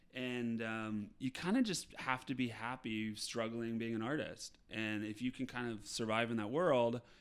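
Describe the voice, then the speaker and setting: With an American accent, a man speaks in an ordinary speaking voice at medium pitch, his intonation fairly even. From Appalachian Ohio. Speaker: touring musical theater actor. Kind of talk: casual interview chat.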